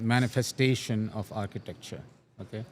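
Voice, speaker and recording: As he speaks, the man keeps his intonation fairly even. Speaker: enterprise architecture expert. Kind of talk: interview. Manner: slow, deliberate pace; halting, frequent self-corrections.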